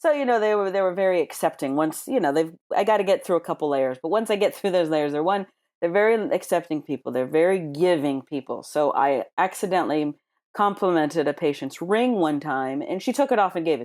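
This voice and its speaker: A woman with an American accent talks at a fairly quick pace, her pitch fairly low and her intonation lively, in a plain, everyday voice. The recording is very clean, with a silent background. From United States. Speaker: ER and trauma nurse. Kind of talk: interview storytelling.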